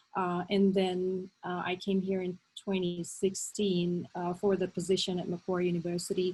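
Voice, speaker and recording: There are hardly any pauses as a woman speaks at a moderate pace and medium pitch. Her intonation is monotone and flat, and her voice is somewhat breathy. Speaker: novelist and academic. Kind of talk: online seminar talk.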